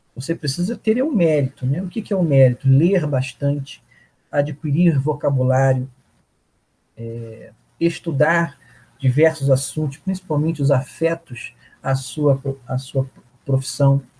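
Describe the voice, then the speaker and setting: Fairly slow speech broken by long, frequent pauses. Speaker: workshop panelist on public speaking. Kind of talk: lecture.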